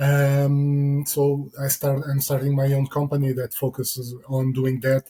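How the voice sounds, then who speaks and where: A man with a non-native accent speaks at a fairly slow pace and fairly high pitch, with hardly any pauses, monotone, flat intonation and very even loudness. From Portugal. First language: Portuguese. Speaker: security consultant. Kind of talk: interview. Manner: hesitant.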